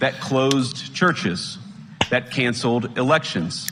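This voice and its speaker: Man at medium pitch with ordinary pitch variation, fairly slow pace, and noticeable background noise. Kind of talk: political speech to an audience.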